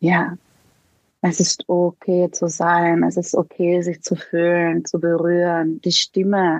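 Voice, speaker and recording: The speaker talks at a very slow pace with a Slovenian accent, in a dry, close sound with no echo. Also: woman. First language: Slovenian (speaking German). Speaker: somatic coach for women. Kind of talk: interview.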